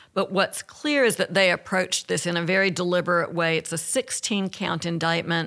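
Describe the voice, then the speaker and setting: A woman with an Alabama accent talks at a fairly quick pace with hardly any pauses, using a bright, sharp tone at a fairly low pitch, with ordinary pitch variation and very even loudness. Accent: Southern US (Alabama). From US South. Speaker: former federal prosecutor. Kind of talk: panel discussion. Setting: studio.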